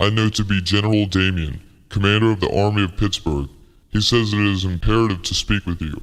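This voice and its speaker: A put-on character voice at a fairly quick pace, with fairly even intonation. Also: man, fairly low pitch for a man. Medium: audio drama. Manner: military, clipped.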